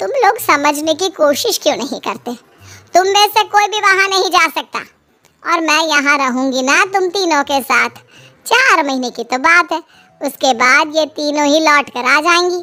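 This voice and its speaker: A squeaky, cartoonish character voice with lively intonation at a moderate pace. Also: woman, high pitch for a woman. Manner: warm, motherly, calling everyone "beta".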